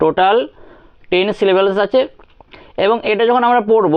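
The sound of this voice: A reading voice, unforced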